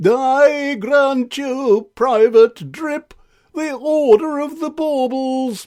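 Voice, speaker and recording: Using a put-on character voice, a man talks at a very slow pace with an extremely high pitch. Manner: pompous.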